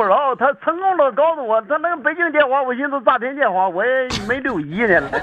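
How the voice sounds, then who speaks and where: A man's extremely high voice at a fairly quick pace, with lively intonation, hardly any pauses and noticeable background noise. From Dalian area, Liaoning (northeast China). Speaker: farmer. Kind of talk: casual chat.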